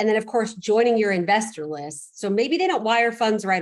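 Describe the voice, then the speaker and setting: Ordinary pitch variation in the voice of a woman. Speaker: real estate investor, guest speaker. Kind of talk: online presentation. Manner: fast.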